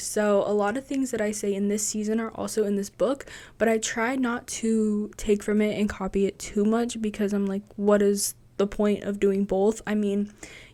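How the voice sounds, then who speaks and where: The voice has a dark, mellow tone and a moderate pace, heard in a very clean recording with a silent background. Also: woman. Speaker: podcast host and writer. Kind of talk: casual podcast monologue. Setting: home recording in bedroom. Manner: casual, filler-heavy.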